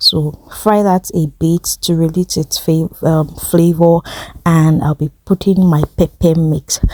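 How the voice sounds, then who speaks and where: In a dry, close sound with no echo but noticeable background noise, a woman speaks at a very slow pace with a fairly low pitch. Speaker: cooking channel host. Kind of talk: cooking tutorial. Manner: casual, hesitant with fillers.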